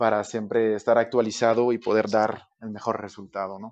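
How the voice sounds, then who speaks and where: A man speaks at a medium pitch and a moderate pace. His intonation is monotone and flat, and the background is quiet. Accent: French Canadian. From Quebec, Canada. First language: French (speaking Spanish). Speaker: architect. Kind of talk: podcast interview. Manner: hesitant, many fillers.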